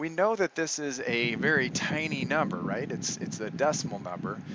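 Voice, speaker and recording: Fairly slow male speech, noticeable noise in the background. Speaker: math teacher. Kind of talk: tutorial. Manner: hesitant, many fillers.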